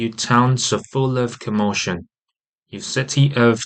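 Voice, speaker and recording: With a British accent, a man talks at a medium pitch and a fairly slow pace, his intonation fairly even. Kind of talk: audio Bible reading.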